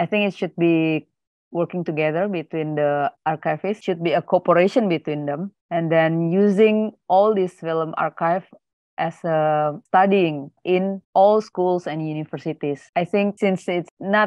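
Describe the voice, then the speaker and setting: Speaking in an Indonesian accent, a woman uses a fairly low pitch and fairly even intonation at a fairly slow pace. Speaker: film archivist. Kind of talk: panel presentation.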